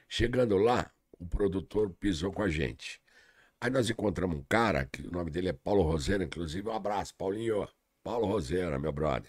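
A man with a very deep, low voice and vocal fry speaks at a moderate pace with lively intonation on a very clean recording with a silent background. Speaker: comedian. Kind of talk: casual chat.

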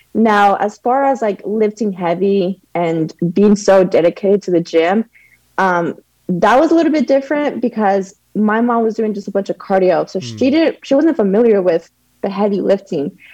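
A dark, mellow tone with lively intonation at a moderate pace. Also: woman, medium pitch for a woman. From Mexico, raised in Texas. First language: Spanish. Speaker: powerlifting athlete. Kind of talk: casual chat.

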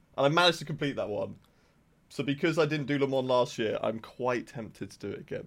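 Speaking with an English accent, a man goes at a very fast pace. His pitch is fairly high, with ordinary variation. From England. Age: 20s. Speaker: esports content manager. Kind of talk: casual chat. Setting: video call.

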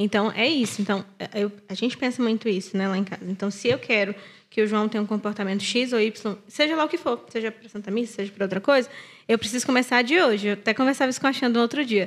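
Speaking very fast, a woman uses a fairly high voice. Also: ordinary pitch variation. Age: 30s. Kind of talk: casual chat.

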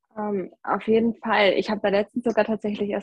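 Speaking at a fairly quick pace, a woman with a fairly high pitch sounds somewhat breathy and monotone, her intonation flat, in a dry, close recording with no echo. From Germany, North Rhine-Westphalia. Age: 20s. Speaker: backpacker. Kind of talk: casual interview.

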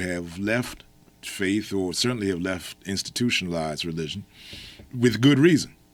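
On a very clean recording with a silent background, a man with an American accent and an unremarkable speaking voice speaks at a moderate pace and fairly low pitch, with ordinary pitch variation. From Maryland, US. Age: 50s. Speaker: poet, activist and minister. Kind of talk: interview conversation.

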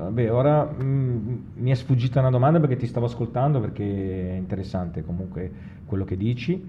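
Lively intonation marks this man's medium-pitched voice at a fairly quick pace. There is audible room echo. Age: 50s. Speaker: podcast host. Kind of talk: casual interview.

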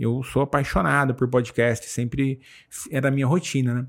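A man at a medium pitch, a normal speaking voice, a moderate pace, and a very clean recording with a silent background. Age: 40s. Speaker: tech executive and book content creator. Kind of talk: podcast interview.

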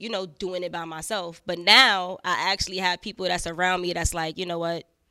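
On a very clean recording with a silent background, a woman with a New York accent speaks at a medium pitch and a moderate pace in a bright, sharp tone. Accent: New York (Bronx). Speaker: rapper. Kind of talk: casual interview chat.

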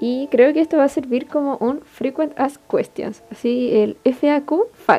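A woman with a Chilean accent speaks at a very slow pace and a high pitch, with hardly any pauses and ordinary pitch variation. Noticeable background noise sits behind her. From Chile, Iquique. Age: 20s. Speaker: podcast host, university student. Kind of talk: casual solo podcast monologue.

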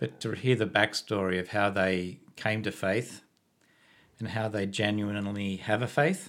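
A man with an Australian accent speaks at a fairly slow pace in a fairly low voice with fairly even intonation, on a very clean recording with a silent background. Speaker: podcast host, former engineer. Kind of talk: casual interview chat. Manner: halting, many repetitions.

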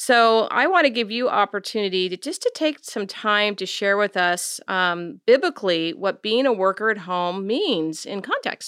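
With lively intonation and hardly any pauses, a woman talks at a moderate pace in an ordinary speaking voice at a medium pitch. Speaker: biblical counselor and podcast co-host. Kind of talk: casual chat.

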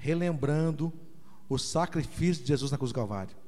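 A fairly high-pitched man with audible room echo. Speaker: pastor. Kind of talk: sermon. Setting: church.

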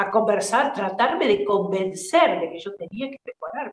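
A woman with a fairly high pitch speaks at a moderate pace. Her intonation is lively. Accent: Argentine. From Argentina, San Luis province. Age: 40s. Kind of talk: interview testimony.

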